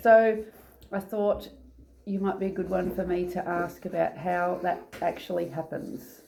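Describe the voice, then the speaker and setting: Medium in pitch and fairly even in intonation, this woman speaks at a fairly slow pace in a plain, everyday voice. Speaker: channel host, interviewer. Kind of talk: casual talk to camera.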